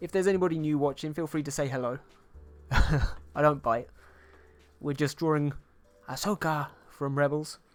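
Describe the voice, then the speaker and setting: Music plays in the background as someone talks with a British accent. The pace is moderate, broken by long, frequent pauses. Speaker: digital artist streamer. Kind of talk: casual live-stream chat while painting. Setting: live stream.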